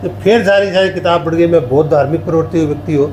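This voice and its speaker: Ordinary pitch variation and a moderate pace mark this speaker. Noticeable background noise and audible room echo fill the recording. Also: man. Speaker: writer. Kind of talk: interview.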